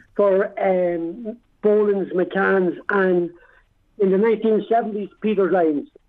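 Speaking very slowly with an Irish accent, a man uses a high pitch. His intonation is fairly even and his loudness very even. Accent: Dundalk Irish, kept. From Dundalk, Ireland. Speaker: army veteran. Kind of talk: interview. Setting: phone call.

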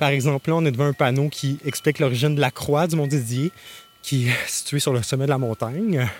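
A man's fairly high voice at a fairly quick pace, with very even loudness, ordinary pitch variation and noticeable background noise. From Gaspésie, Quebec (Grande-Vallée). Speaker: arts festival communications director. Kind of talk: guided outdoor walk tour. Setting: outdoors on a hiking trail.

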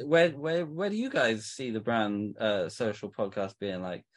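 A man with a British accent at a fairly slow pace with lively intonation, over a quiet background. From England. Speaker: t-shirt brand owner. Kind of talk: casual chat.

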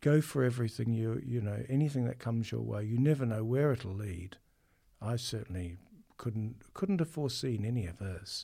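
A man's somewhat breathy voice, dark and mellow in tone, at a moderate pace with ordinary pitch variation. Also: medium pitch for a man, very clean recording, silent background. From New Zealand, Auckland. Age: 50s. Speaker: conductor. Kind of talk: interview.

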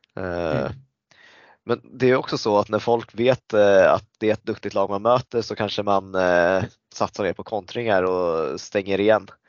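The speaker talks at a fairly slow pace in a plain, everyday voice. Pitch variation is ordinary. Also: man, fairly low pitch for a man. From Sweden, Stockholm area. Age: 30s. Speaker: floorball player and club leader. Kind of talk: casual interview.

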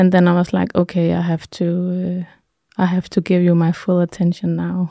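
A woman speaks with a Danish accent in a dark, mellow tone. The sound is dry and close with no echo, in a very clean recording with a silent background. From Denmark, Jutland. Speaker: healer and artist. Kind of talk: interview. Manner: halting.

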